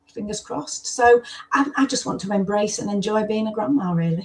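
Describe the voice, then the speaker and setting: The speaker has a British accent. The pitch varies in an ordinary way. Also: woman. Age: 70s. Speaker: former foster carer and author. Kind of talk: interview conversation.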